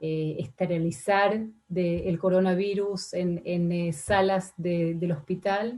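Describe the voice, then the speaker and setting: The speech moves at a very slow pace, its intonation fairly even. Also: woman. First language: not Spanish (Spanish is her third language) (speaking Spanish). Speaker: ambassador. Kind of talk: formal testimony before senate committee. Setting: senate committee session. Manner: hesitant, many fillers.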